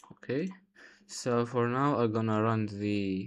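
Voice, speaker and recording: A man with a non-native accent speaks at a very slow pace. His voice is fairly low with fairly even intonation. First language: not English. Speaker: software developer, coding tutorial creator. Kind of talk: tutorial. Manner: halting, many fillers.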